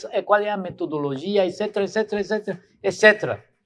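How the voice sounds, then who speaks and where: A fairly quick pace and ordinary pitch variation over a quiet background. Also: man. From Cuba. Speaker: professor and intellectual. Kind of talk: lecture answering audience questions. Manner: halting, repeats words.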